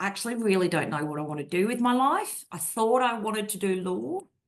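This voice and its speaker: Speaking with an Australian accent, a woman keeps a moderate pace. Her pitch sits in the medium range. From Australia (Brisbane). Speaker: naval officer and risk advisory director. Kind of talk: interview.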